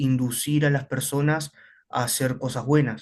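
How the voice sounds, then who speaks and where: Speaking at a fairly slow pace, a man uses monotone, flat intonation at a fairly high pitch. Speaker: student. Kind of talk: classroom question.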